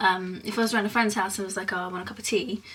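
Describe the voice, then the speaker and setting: Noticeable background noise under a woman's fairly even intonation. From England, Essex. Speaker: vlogger. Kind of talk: casual explainer vlog. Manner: hesitant, many fillers.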